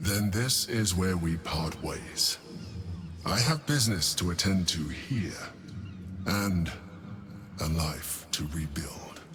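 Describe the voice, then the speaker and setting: A man's put-on character voice, very deep and low, fairly slow with long, frequent pauses over clear background noise. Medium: video game. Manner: measured, inscrutable.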